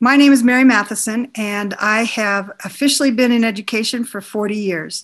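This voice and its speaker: Over a quiet background, a woman with an American accent speaks at a fairly slow pace and medium pitch with ordinary pitch variation in an ordinary speaking voice. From northern Minnesota, US. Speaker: educator and teacher coach. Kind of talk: interview.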